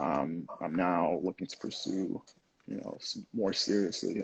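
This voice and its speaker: A man with a New Jersey accent talks at a moderate pace. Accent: American, New Jersey. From New Jersey, US (born in Lagos, Nigeria, moved at six). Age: 20s. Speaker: photographer and engineer. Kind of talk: podcast interview.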